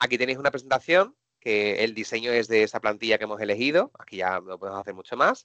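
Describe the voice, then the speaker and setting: Dry and close with no echo, a man's bright, sharp voice races at a very fast pace, with big swings in loudness and ordinary pitch variation. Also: medium pitch for a man. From Seville, Andalusia, southern Spain. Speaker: technology presenter and trainer. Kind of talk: live webinar software demo. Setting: online webinar.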